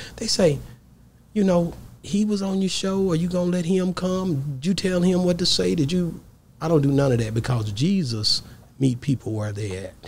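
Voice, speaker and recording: A high-pitched man with a Southern US accent, lively intonation and a moderate pace, over light background noise. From Texas. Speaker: podcast host. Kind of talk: casual interview. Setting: studio. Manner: animated. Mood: warm, earnest. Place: studio. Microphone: studio mic.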